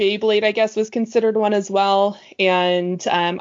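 The speaker is a woman. She has a Nova Scotian accent. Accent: Canadian, Nova Scotian. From Nova Scotia, Canada. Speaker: guest. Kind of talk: casual chat.

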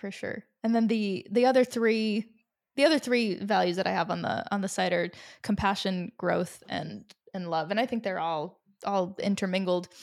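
At a moderate pace and with ordinary pitch variation, an ordinary speaking voice is heard on a very clean recording with a silent background. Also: woman, medium pitch for a woman. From Rhode Island, US. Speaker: music promoter and venue owner. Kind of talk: interview.

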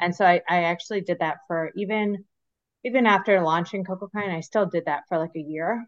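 A woman talks at a fairly quick pace in a normal speaking voice. Her pitch is medium with ordinary variation. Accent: American. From US Midwest, Michigan. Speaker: skincare brand founder. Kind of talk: interview.

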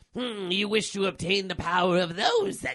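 Using a put-on character voice, a man speaks at a moderate pace with a high pitch and a menacing tone. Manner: menacing, tempting.

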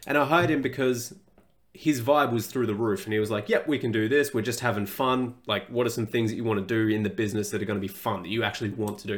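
The man's pitch sits in the medium range. He talks at a very fast pace. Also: ordinary pitch variation. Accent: Australian. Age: 20s. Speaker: fitness coach, podcast host. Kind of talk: casual solo podcast monologue.

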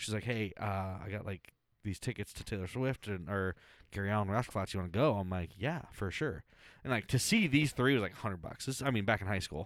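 Speaking fairly quickly in an ordinary speaking voice, a man has fairly low pitch and ordinary pitch variation, heard in a very clean recording with a silent background. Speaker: podcast host. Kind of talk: casual chat.

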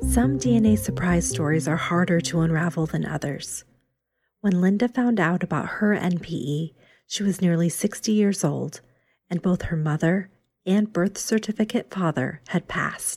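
Fairly low, somewhat breathy female voice with lively intonation, at a fairly slow pace. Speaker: podcast host. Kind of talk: podcast interview and scripted intro.

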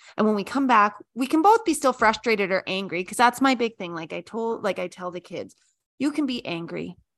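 Heard against a quiet background, a plain, everyday voice with a Canadian accent carries lively intonation. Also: woman. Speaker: podcast co-host. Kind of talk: casual chat.

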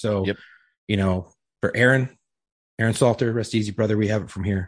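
A man talks with a fairly low pitch and a somewhat breathy voice. The background is quiet. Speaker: podcast co-host. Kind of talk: casual chat.

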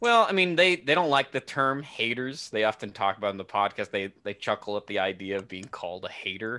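Against a quiet background, a man with a bright, sharp tone talks at a fairly quick pace with very wide pitch swings. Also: medium pitch for a man, hardly any pauses. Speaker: podcaster and YouTuber. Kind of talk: casual chat.

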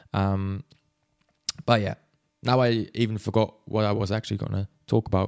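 With a Swiss accent, a man speaks in a fairly low pitch and monotone, flat intonation at a moderate pace, leaving long, frequent pauses, in a dry, close sound with no echo. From Switzerland. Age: 20s. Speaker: podcaster, football fan. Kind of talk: solo podcast, casual monologue. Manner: rambling, hesitant, many fillers.

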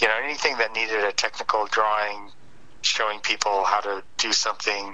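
A man with a Midwestern American accent speaks at a fairly low pitch in a flat monotone. Noticeable background noise runs underneath. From Detroit area, Michigan. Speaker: comic book artist. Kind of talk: interview. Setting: phone call.

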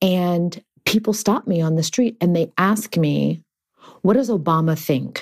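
A woman with an American accent speaks in a plain, everyday voice, fairly low in pitch and fairly slow. Her loudness stays very even and her pitch varies in an ordinary way. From Texas, Houston. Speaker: actress and memoir author. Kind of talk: interview conversation.

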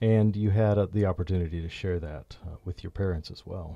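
Against a quiet background, a man speaks with a very deep, low pitch, a dark, mellow tone, a somewhat breathy quality and fairly even intonation. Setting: studio.

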